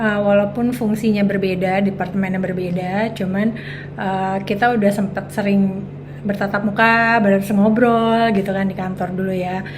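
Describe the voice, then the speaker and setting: A woman at a medium pitch with fairly even intonation and a moderate pace, amid noticeable background noise and audible room echo. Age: 40s. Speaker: make-up artist and entrepreneur. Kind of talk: casual interview chat. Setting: at her home. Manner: hesitant with many fillers.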